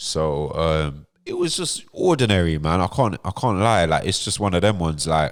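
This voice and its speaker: Speaking in a London accent, a man with a very deep, low pitch talks at a moderate pace with ordinary pitch variation and hardly any pauses. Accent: London accent (MLE). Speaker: podcast host. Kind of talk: casual storytelling chat.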